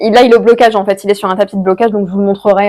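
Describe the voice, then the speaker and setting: A woman's medium-pitched voice with a dark, mellow tone and fairly even intonation, on a very clean recording with a silent background. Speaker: knitting podcaster. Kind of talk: casual solo video podcast. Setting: home recording to camera. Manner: fast; hesitant, many fillers.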